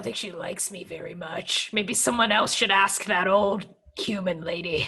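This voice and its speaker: Here a woman does a raspy, put-on character voice at a medium pitch. Her pace is moderate and her pitch variation is ordinary. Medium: actual play. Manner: awkward, blunt.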